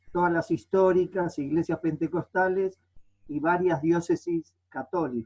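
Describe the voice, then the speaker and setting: A high-pitched male voice with a dark, mellow tone at a fairly slow pace, the sound dry and close with no echo. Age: 60s. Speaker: pastor and theologian. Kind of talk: panel talk. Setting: video call. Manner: hesitant, many fillers.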